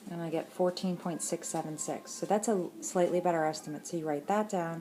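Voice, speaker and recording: Here a woman speaks in a fairly low pitch. Her pitch varies in an ordinary way. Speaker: math teacher. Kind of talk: tutorial. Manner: fast.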